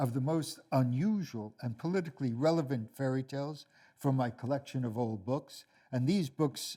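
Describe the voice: Ordinary pitch variation comes through as the speaker reads plainly aloud.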